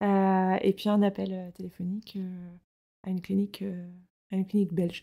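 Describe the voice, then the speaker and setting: A woman speaks at a moderate pace in a medium pitch, her dark, mellow tone held in a monotone, flat delivery broken by long, frequent pauses. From France, Rennes (Brittany). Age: 30s. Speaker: podcast guest, mother. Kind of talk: casual interview, personal testimony. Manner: hesitant, many fillers.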